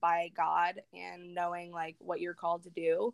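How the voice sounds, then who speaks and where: A woman with an unremarkable speaking voice and an American accent, at a medium pitch and fairly slow pace, in a very clean recording with a silent background. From Northern California. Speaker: Instagram influencer and graphic designer. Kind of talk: casual interview.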